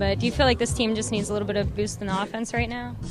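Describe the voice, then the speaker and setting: A woman talking at a very fast pace over music in the background. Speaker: sports reporter. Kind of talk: interview questions.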